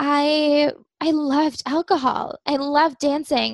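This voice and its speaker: The voice has an American accent. The sound is dry and close, with no echo. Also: woman. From Germany, American family. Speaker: success coach and energy healer. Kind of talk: personal testimony in interview.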